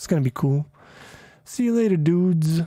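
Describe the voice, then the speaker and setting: Quietly and at a moderate pace, a man speaks at a high pitch with ordinary pitch variation. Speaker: programming streamer. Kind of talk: casual live stream. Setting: home live stream at night. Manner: quieter now; loud.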